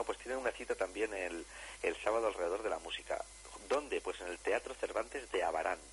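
Noticeable background noise surrounds a man who is speaking very fast. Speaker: radio host presenting folk music. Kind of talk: radio talk show.

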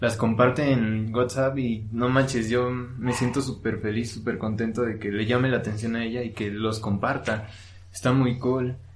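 Spoken with a central Mexican accent at a moderate pace, the voice has monotone, flat intonation and audible room echo. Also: man, medium pitch for a man. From Mexico, Hidalgo (Actopan). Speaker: podcaster. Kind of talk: casual chat. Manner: halting.

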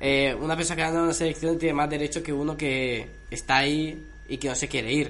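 A man speaks very fast in a fairly high pitch with flat, monotone intonation. The room echo is audible. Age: young. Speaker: sound technician. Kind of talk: casual chat. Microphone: no microphone, hard to hear.

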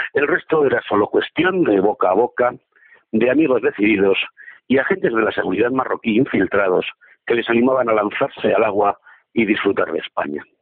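Speaking at a fairly quick pace, a man with an ordinary speaking voice and medium pitch uses lively intonation while keeping his loudness very even. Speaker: columnist. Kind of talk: opinion column reading.

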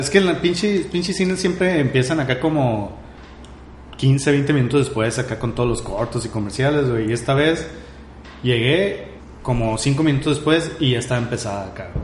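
A man with a Mexican accent speaks at a moderate pace and medium pitch, with lively intonation. Audible room echo and noticeable background noise are present. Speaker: podcast co-host. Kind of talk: casual chat.

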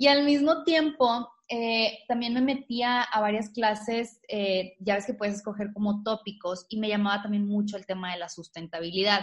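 Somewhat breathy, a woman talks at a fairly high pitch with ordinary pitch variation. Her pace is moderate, with hardly any pauses. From Tamaulipas, northeastern Mexico. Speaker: natural cosmetics entrepreneur. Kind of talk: interview.

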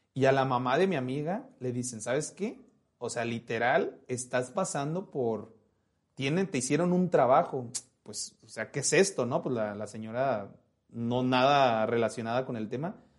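In a normal speaking voice, a man talks at a fairly slow pace and medium pitch, with ordinary pitch variation. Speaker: podcast host. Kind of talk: casual chat. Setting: live stream with chat.

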